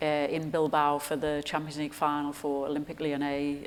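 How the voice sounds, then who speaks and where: A woman with a Geordie accent speaks at a moderate pace in a very deep, low voice. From Newcastle, England. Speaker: sports performance director. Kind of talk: interview answer on stage. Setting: live audience event.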